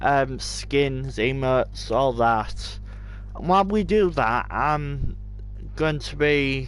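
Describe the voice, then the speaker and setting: A man at a very slow pace with noticeable background noise. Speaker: gamer streamer. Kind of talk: casual gaming stream commentary. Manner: hesitant, many fillers.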